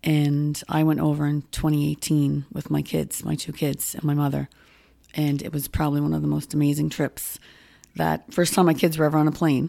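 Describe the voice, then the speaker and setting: A woman talks with a Nova Scotian accent at a fairly quick pace. The recording is very clean, with a silent background. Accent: Nova Scotian Canadian. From Nova Scotia, Halifax (Spryfield). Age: 50s. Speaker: farmers market manager. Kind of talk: casual interview.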